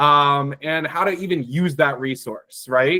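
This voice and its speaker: A man at a very slow pace, his intonation lively. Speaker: climate advocacy organizer. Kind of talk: online presentation to a meeting. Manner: many fillers (um, uh).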